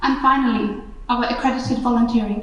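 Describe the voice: Audible room echo surrounds a woman speaking at a moderate pace with a fairly high pitch and fairly even intonation.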